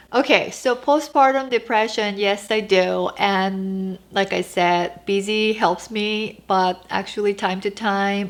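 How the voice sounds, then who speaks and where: With a Korean accent, a woman talks very slowly at a medium pitch and with ordinary pitch variation. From South Korea. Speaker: lifestyle vlogger. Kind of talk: casual Q&A vlog. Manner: halting.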